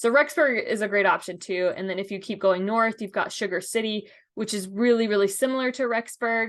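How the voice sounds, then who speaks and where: A woman with an unremarkable speaking voice talks in a fairly high pitch, with ordinary pitch variation. She leaves hardly any pauses, over a quiet background. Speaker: local real estate guide. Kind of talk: screen-share tour narration. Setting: screen share over map. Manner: casual with fillers.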